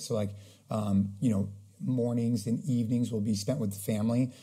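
A man speaks at a fairly quick pace. His voice is somewhat breathy, with a dark, mellow tone. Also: quiet background. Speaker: podcast guest. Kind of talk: interview answer.

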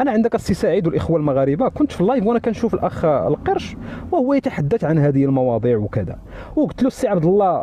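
Over light background noise, a man with a high voice races along at a very fast pace, his pitch swinging very widely while his loudness stays very even. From Morocco. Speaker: TikTok live participant; guest. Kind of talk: heated debate. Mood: critical, indignant. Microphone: phone near.

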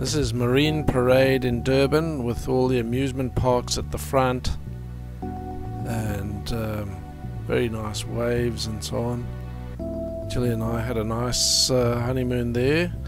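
Over music in the background, a man speaks fairly slowly in a fairly low voice with very wide pitch swings, the sound dry with no echo. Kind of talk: home movie narration.

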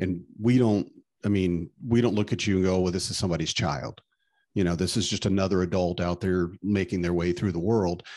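A man speaks fairly quickly in a very deep, low voice with a dark, mellow tone. His intonation stays fairly even over a quiet background. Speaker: podcast co-host and stay-at-home dad; podcast co-host. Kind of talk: casual chat. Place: home room. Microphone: studio mic.

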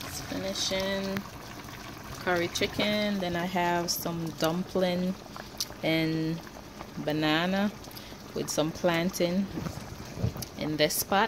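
A woman's fairly low voice at a slow pace, fairly even intonation, long, frequent pauses and clear background noise

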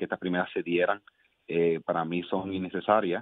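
A man with a very deep, low pitch, talking at a fairly quick pace. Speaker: mayor. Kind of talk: radio interview. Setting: phone call.

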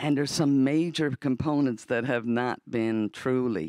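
A dry sound with no echo, a quiet background, and a Newfoundland accent. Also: man. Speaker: audience member and part-time student; audience member. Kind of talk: audience Q&A comment. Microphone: handheld.

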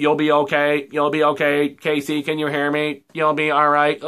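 In a put-on robotic character voice, someone speaks at a moderate pace with monotone, flat intonation. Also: man, fairly high pitch for a man. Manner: flat, robotic, reassuring.

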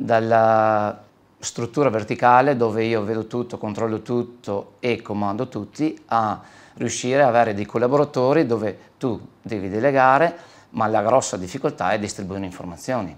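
With an unremarkable speaking voice, a man of medium pitch talks at a moderate pace with ordinary pitch variation. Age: 40s. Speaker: body shop owner. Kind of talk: interview.

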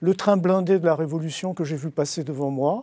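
A man's fairly high-pitched voice with a dark, mellow tone, ordinary pitch variation, a moderate pace and a dry sound with no echo. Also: quiet background. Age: 60s. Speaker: novelist; guest. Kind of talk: literary talk show discussion. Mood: reflective, literary. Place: studio. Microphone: lapel.

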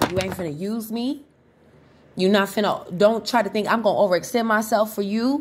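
A woman's fairly high-pitched voice at a fairly quick pace, with ordinary pitch variation. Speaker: tarot reader. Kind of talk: angry rant. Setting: video channel. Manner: angry, defiant, profane; emphatic, confrontational.

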